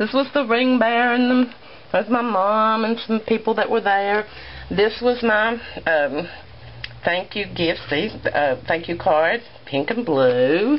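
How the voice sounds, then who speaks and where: Lively intonation and a warm tone mark this voice with a Southern US accent. The pace is fairly slow. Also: woman, fairly high pitch for a woman. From US South, rural. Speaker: craft vlogger. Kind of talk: show-and-tell vlog. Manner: warm, chatty.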